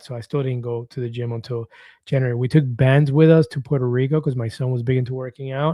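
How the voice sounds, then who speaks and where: A man speaks very fast in a monotone with flat intonation. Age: 50s. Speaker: weight-loss vlogger. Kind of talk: live stream chat reading comments. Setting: live stream.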